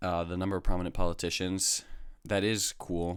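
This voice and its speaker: Monotone, flat intonation at a fairly slow pace on a very clean recording with a silent background. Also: man. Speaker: online commentator reviewing recruit pitches. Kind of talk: casual commentary. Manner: halting, many fillers.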